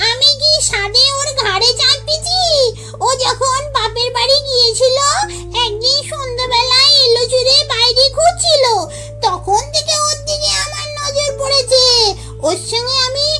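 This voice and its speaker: A female-sounding, put-on character voice at an extremely high pitch for a woman and a fairly slow pace. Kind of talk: ghost story acting. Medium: read story.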